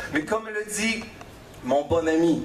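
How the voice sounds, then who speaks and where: The speech moves at a very slow pace, with noticeable background noise behind it. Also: man. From Quebec. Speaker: slam poet and storyteller. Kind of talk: slam poetry performance. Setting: live stage.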